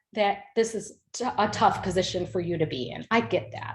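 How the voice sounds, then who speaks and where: In a plain, everyday voice, a woman talks at a moderate speed. Her pitch sits in the middle and varies in an ordinary way. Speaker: parent advocate presenter. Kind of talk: webinar presentation.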